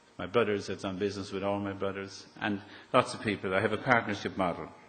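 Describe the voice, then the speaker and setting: A man with a fairly low pitch and an Irish accent, at a fairly quick pace, with audible room echo. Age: 60s. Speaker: property developer. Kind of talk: public talk. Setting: stage with audience.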